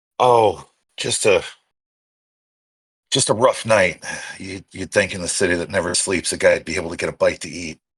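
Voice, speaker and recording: Heard in a very clean recording with a silent background, a raspy, put-on character voice keeps a moderate pace with long, frequent pauses. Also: man, fairly low pitch for a man. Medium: actual play. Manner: easygoing, charming.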